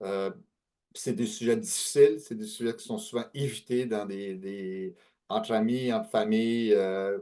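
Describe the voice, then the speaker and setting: A man's dark, mellow tone at a fairly slow pace, fairly even intonation, and big swings in loudness. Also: medium pitch for a man. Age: 60s. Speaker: author and speaker on aging and estate planning. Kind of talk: webinar talk. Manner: hesitant, many fillers.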